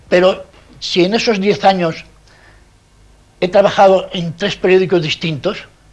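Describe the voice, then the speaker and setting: The man's voice has a high pitch and fairly even intonation. He leaves long, frequent pauses. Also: fairly slow pace. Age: 70s. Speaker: journalist and anarchist veteran. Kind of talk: interview testimony.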